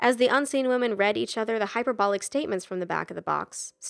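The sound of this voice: The clip has an unforced reading voice. Its pitch varies in an ordinary way.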